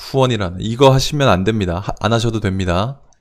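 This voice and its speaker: A man talks in a medium-pitched voice with ordinary pitch variation. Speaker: real estate investment livestream host. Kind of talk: live stream Q&A with chat. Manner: fast.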